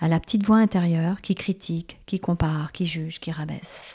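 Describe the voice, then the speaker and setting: In a dry, close recording with no echo, a woman with a fairly low pitch and a dark, mellow tone speaks somewhat breathily at a fairly quick pace, her intonation fairly even. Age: 50s. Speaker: naturopath and shiatsu practitioner, podcast host. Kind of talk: reflective monologue.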